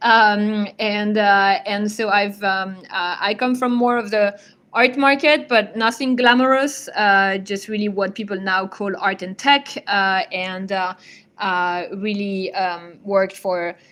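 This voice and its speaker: A woman with a French accent speaks very slowly in a medium pitch, her tone bright and sharp, on a very clean recording with a silent background. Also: ordinary pitch variation. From France. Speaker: digital art advisor and curator. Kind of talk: lecture. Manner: halting, many fillers.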